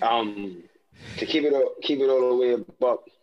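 A man speaks with a New York accent. His pitch sits in the medium range. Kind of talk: casual chat. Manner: animated.

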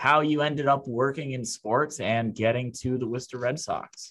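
An ordinary speaking voice belongs to this man, who keeps a moderate pace and ordinary pitch variation. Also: quiet background. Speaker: podcast host. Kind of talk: casual banter.

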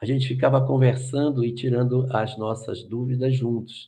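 The speaker is a man at medium pitch. His voice comes across somewhat breathy. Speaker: spiritist lecturer. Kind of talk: live Q&A talk. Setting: video call.

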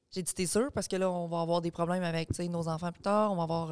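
A woman's ordinary speaking voice, fairly low and fairly even in intonation, at a fairly quick pace in a very clean recording with a silent background. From Quebec, Beauce region. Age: 30s. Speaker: online content creator. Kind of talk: casual chat.

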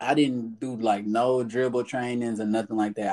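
A man speaks in an American accent. His tone is dark and mellow, and his intonation is monotone and flat. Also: very clean recording, silent background. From Texas, Fort Worth (South Side). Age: 20s. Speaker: basketball player. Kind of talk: casual chat.

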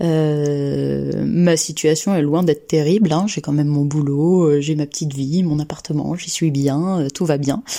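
A woman with a very deep, low voice speaks at a fairly slow pace, her tone dark and mellow. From France, Lyon area. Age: 30s. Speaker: clinical research assistant. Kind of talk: casual personal testimony. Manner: hesitant, with frequent filler sounds.

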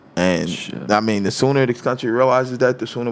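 Over noticeable background noise, a man speaks very fast, his pitch varying in an ordinary way. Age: 30s. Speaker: podcast host. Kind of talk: casual chat.

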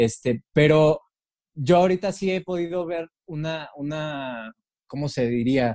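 A man speaks at a very slow pace in a dark, mellow tone with ordinary pitch variation, on a very clean recording with a silent background. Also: fairly high pitch for a man. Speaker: podcast host. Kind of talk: casual chat.

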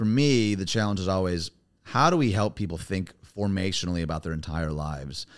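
Against a silent background in a very clean recording, a man with an American accent and a very deep, low voice speaks fairly quickly with lively intonation. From US Midwest. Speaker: pastor. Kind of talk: casual interview chat.

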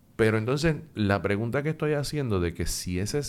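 Moderate pacing and lively intonation in an unremarkable speaking voice. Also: man. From Puerto Rico. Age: 50s. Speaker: psychologist and professor. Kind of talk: interview.

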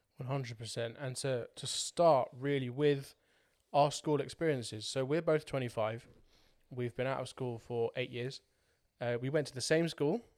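In a normal speaking voice, this man keeps a moderate pace and medium pitch, with fairly even intonation. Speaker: podcast host. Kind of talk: casual chat.

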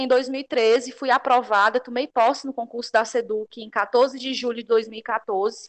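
A woman's high-pitched voice at a very slow pace, dry and close with no echo, over a quiet background. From Ceará, Brazil. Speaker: teacher and pedagogical coordinator. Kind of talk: casual chat. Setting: video call.

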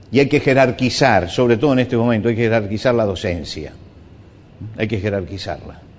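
A man's medium-pitched voice at a fairly quick pace, with ordinary pitch variation and audible room echo. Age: 70s. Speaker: pastor. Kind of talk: sermon.

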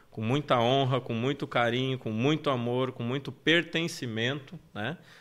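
On a very clean recording with a silent background, a man with an unremarkable speaking voice talks at a fairly slow pace, medium pitch and ordinary pitch variation. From Porto Alegre, southern Brazil. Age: 30s. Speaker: life coach. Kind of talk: interview conversation. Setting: live stream studio.

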